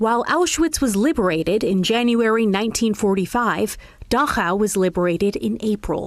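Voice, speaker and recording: A woman with a plain, everyday voice speaks at a moderate pace and fairly high pitch, her loudness very even and with hardly any pauses. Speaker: news reporter. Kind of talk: TV news report narration.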